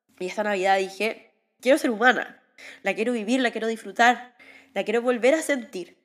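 Fairly quick speech with ordinary pitch variation over music in the background. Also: woman, fairly high pitch for a woman. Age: 30s. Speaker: life coach. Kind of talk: personal reflective monologue. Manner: halting.

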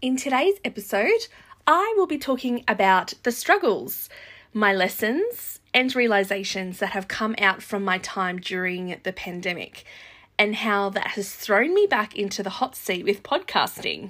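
A woman with an Australian accent, fairly high in pitch, bright and sharp in tone, at a fairly slow pace. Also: ordinary pitch variation, very clean recording, silent background. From Australia, far north coast New South Wales. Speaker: podcast host and travel agent. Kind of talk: solo podcast monologue.

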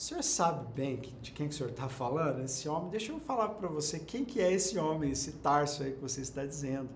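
Talking at a very fast pace, a man with a fairly high pitch is heard through noticeable background noise and audible room echo. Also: ordinary pitch variation, hardly any pauses. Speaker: bible teacher. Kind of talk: bible study lecture. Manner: conversational.

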